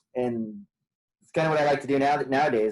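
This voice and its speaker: At a fairly quick pace, a man talks in a normal speaking voice with fairly even intonation. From Portland, Oregon and rural central California. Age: 30s. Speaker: outdoor guide and podcast guest. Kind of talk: casual interview chat.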